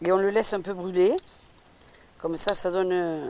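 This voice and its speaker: Over noticeable background noise, a woman with fairly low pitch speaks at a moderate pace in a monotone with flat intonation. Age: 60s. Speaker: retired cook. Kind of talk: cooking demonstration. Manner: casual, halting.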